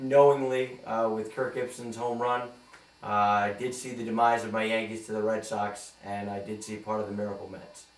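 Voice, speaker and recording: A man with an American accent speaks at a moderate pace and medium pitch with fairly even intonation, over noticeable background noise. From New York. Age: 20s. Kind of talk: audition tape, casual talk to camera.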